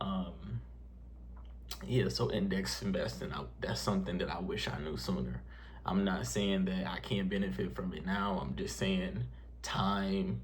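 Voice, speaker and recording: A man's voice is very deep and low, and his pace fairly slow. Audible echo fills the room. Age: 20s. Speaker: personal finance youtuber. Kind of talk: casual vlog talk to camera. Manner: halting, many fillers; unscripted, conversational.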